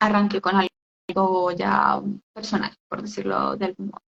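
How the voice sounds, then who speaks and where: A woman is speaking here. Her pace is fairly slow. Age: 20s. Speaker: entrepreneur, skincare business owner. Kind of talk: interview on a live stream. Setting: online live stream. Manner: hesitant, many fillers.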